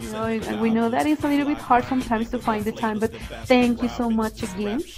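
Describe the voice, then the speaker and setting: With music in the background, a woman with a Spanish accent speaks at a very fast pace in a fairly high pitch with ordinary pitch variation. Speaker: radio show host. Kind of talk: bilingual interview.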